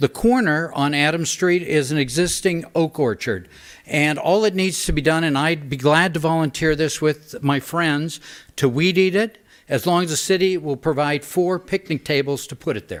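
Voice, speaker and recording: This man has an unremarkable speaking voice with an American accent, fairly high in pitch, with ordinary pitch variation and a moderate pace. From Northern California, St. Helena. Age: 60s. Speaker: public commenter at council meeting. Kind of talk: public comment. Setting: city council meeting.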